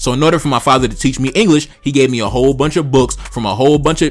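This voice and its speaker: The speech moves at a very fast pace with ordinary pitch variation. Noticeable background noise runs underneath. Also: man. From Brooklyn, New York, with early childhood in Haiti. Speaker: political commentator YouTuber. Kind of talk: casual monologue commentary. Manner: animated, profane.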